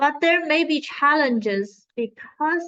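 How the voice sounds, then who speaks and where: A woman at a very slow pace with lively intonation. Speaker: teaching assistant. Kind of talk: tutorial.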